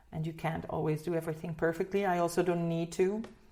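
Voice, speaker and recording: A woman speaks fairly quickly with a slight Dutch accent, her fairly low pitch held in a monotone, flat intonation. Her tone is dark and mellow. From Netherlands. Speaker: singer. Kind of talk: interview. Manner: halting, many repeated words.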